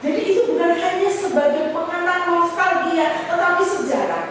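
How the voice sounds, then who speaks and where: A woman's high-pitched voice carries audible room echo amid noticeable background noise. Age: 60s. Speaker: guest preacher. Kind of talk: sermon. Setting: church.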